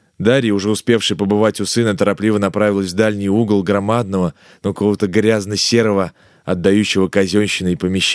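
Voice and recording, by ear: The clip is reading aloud in a natural voice.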